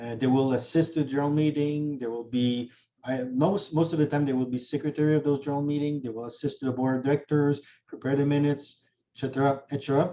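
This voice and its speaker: A man speaks at a fairly quick pace with a dark, mellow tone. His pitch is fairly high, and his intonation is fairly even. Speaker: notary and condo law instructor. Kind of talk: webinar lecture.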